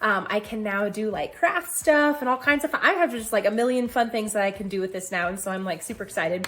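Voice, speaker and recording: A woman's fairly high, animated voice with lively intonation, a very fast pace and hardly any pauses, over noticeable background noise. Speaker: health challenge vlogger. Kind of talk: casual vlog.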